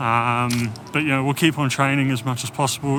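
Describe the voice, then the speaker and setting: Noticeable background noise sits behind a speaker with an English accent. The intonation is fairly even and the pace moderate. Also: man. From England. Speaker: cycling vlogger. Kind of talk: personal vlog monologue. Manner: hesitant, many fillers.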